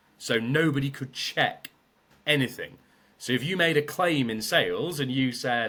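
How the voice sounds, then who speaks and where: A loud man speaks in a British accent with a bright, sharp tone. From Britain. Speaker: sales trainer. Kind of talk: podcast interview.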